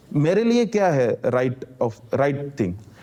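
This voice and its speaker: A man with a Malayalam accent speaks at a fairly high pitch. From Kerala, India. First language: Malayalam (speaking Hindi). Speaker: former civil servant and activist. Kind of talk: casual conversation. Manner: simple Hindi mixed with English.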